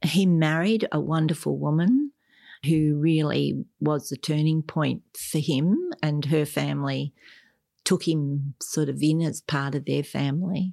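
A woman with an Australian accent speaks at a fairly slow pace, her pitch very deep and low, her tone dark and mellow, her intonation fairly even. The recording is very clean with a silent background and a dry, close sound with no echo. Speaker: adoptee sharing family story. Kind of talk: interview testimony.

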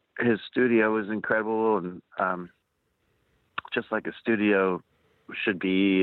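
Fairly even intonation runs through this man's fairly low voice as he speaks at a fairly slow pace. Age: 40s. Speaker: touring musician. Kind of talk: interview conversation.

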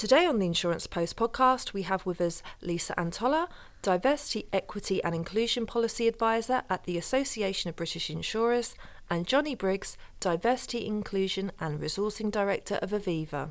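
A woman talks in a plain, everyday voice at a medium pitch. Her intonation is lively and her pace fairly quick. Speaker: podcast host and editor. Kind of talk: interview, moderated discussion.

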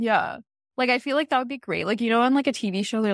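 Dry and close with no echo, the sound carries a woman's animated tone. The background is quiet. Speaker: podcast co-host. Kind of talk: casual chat recapping reality TV. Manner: animated, laughs often.

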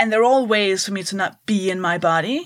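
Here is a woman with a Danish accent. She talks at a fairly slow pace with a medium pitch. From Denmark. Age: 30s. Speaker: stand-up comedian. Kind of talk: casual interview. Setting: at home.

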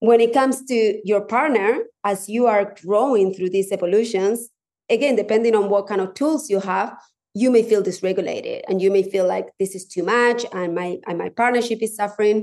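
At a moderate pace, a woman talks with a Spanish accent. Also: medium pitch for a woman, fairly even intonation. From Spanish-speaking country. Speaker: divorce coach. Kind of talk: casual chat.

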